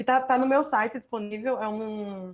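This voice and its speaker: The background is quiet as a woman speaks with a Paraíba accent. Her voice is fairly high, with fairly even intonation. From Paraíba, northeastern Brazil. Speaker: visual artist and doctoral researcher. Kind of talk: online artist talk presenting own work. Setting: video call from home.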